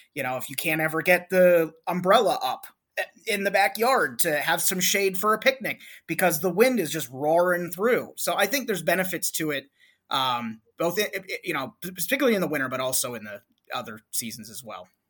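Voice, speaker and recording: In a very clean recording with a silent background, a man with an American accent speaks at a high pitch and a fairly quick pace, with very wide pitch swings. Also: big swings in loudness. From Northeast Ohio (Cleveland area). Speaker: arborist, district manager of a tree care company. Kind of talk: casual interview chat.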